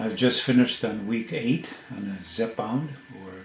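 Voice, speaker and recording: Over noticeable background noise, a man with a medium pitch speaks at a fairly slow pace and ordinary pitch variation. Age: 60s. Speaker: health vlogger. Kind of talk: casual educational talk to camera.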